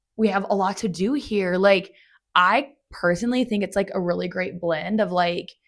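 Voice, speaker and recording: A woman with an American accent and a normal speaking voice talks at a moderate pace and medium pitch, with ordinary pitch variation, on a very clean recording with a silent background. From Montana, US (Bozeman). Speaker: real estate agent. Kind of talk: interview. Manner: casual, frequent fillers.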